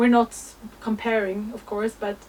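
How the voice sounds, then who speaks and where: A woman's fairly high pitch comes through noticeable background noise. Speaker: astrology content creator. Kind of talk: spiritual monologue.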